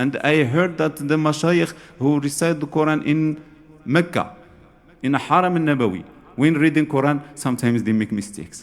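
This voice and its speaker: Speaking at a moderate pace with an Arabic accent, a man uses a fairly high pitch and ordinary pitch variation. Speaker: Sufi scholar, lecturer. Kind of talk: lecture. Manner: halting, repeats words.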